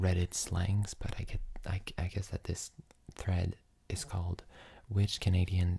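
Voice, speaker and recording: A soft-spoken woman talks at a fairly slow pace, her very deep, low voice somewhat breathy. Her tone is dark and mellow, and it sounds tired. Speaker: ASMR content creator. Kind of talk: casual talk to camera. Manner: soft-spoken, tired.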